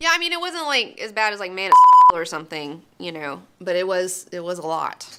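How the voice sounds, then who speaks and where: With an American accent, a woman speaks at a moderate pace with hardly any pauses. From US South, Alabama. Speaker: movie reviewer, channel host. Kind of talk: casual chat review. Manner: casual, conversational.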